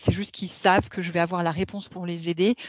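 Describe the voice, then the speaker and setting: Noticeable background noise accompanies a woman's medium-pitched voice, her intonation fairly even. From France. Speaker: corporate lawyer. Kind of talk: interview. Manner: hesitant, many fillers.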